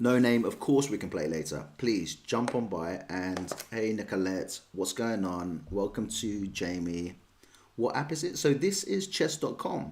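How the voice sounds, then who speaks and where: Lively intonation marks a man's fairly low voice as he speaks at a fairly slow pace. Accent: London. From London, England. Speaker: chess streamer. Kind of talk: live stream chat and chess commentary. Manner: casual, chatty.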